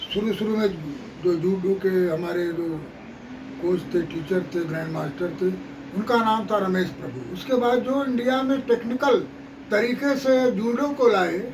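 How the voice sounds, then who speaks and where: Here a man speaks at a high pitch with lively intonation. Audible room echo and noticeable background noise come through. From Varanasi, eastern Uttar Pradesh. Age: 60s. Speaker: martial arts coach. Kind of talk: interview.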